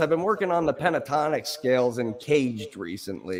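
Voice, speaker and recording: A man's fairly quick speech with very wide pitch swings over noticeable background noise. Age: 30s. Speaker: guitar streamer learning guitar. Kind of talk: casual chat.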